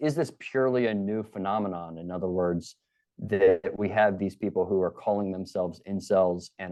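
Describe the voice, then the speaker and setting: A man with a Baltimore accent, fairly low pitch, fairly even intonation and a moderate pace. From Baltimore, Maryland. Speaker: criminology professor. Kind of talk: interview. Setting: podcast.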